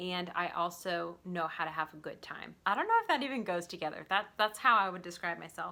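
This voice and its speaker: A woman speaks in a Southern US accent at a fairly quick pace. Her tone is bright and sharp. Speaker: artist and small shop owner. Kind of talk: casual Q&A vlog. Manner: animated.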